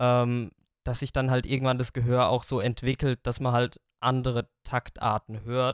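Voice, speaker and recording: The speaker is a man of medium pitch. His intonation is monotone and flat, at a fairly slow pace. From Germany, Lower Franconia near Aschaffenburg. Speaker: metal drummer and songwriter. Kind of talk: podcast interview.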